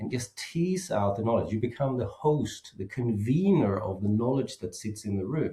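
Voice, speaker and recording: Speaking at a moderate pace with hardly any pauses, a man talks with a slight Swedish accent. His intonation is lively. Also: medium pitch for a man. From Sweden. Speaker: safety expert and author. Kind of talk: podcast interview.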